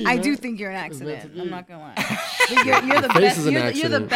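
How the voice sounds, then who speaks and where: At a moderate pace, a woman's pitch swings very widely and her loudness varies greatly, with noticeable background noise present. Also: medium pitch for a woman. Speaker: podcast co-host.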